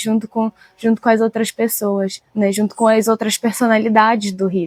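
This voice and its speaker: A woman's voice, dry and close with no echo. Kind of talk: interview.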